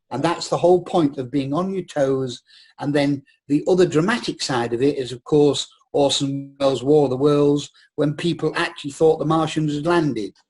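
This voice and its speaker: A man with a northern English accent speaks at a moderate pace, his pitch fairly high. His voice is somewhat breathy and his intonation fairly even. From northern England. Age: 60s. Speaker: actor. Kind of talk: casual chat.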